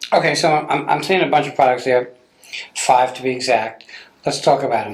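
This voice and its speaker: At a fairly quick pace, a man delivers his words. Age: 60s. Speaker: TV show host. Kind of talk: interview.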